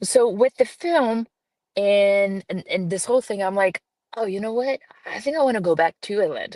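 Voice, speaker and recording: A woman with a slight Brazilian accent speaks at a moderate pace and fairly high pitch, with lively intonation and a dry, close sound with no echo. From Brazil, grew up in a small town. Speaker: film producer and director. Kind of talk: podcast interview. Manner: hesitant, many fillers.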